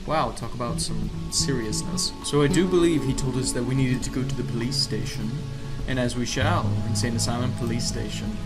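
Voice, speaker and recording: A man speaks fairly quickly. Behind his voice, music is playing. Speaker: gaming video creator. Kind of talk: gameplay commentary. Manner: theatrical, upbeat.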